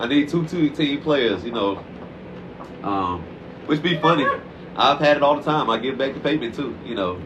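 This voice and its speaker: At a fairly quick pace, a man talks with a medium pitch. The room echo is audible, and there is noticeable background noise. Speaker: dog trainer. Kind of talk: casual interview. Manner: fast; animated.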